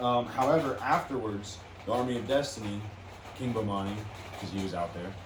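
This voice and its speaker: The clip carries noticeable background noise and audible room echo. Through it, a man speaks at a fairly quick pace. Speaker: wrestling podcast host. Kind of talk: casual chat. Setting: studio. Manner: loud.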